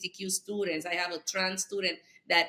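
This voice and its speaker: In a strong Puerto Rican accent, a woman talks with a fairly low pitch, a bright, sharp tone and monotone, flat intonation. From Puerto Rico. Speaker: school board member and politician. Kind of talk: podcast interview. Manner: halting, many fillers.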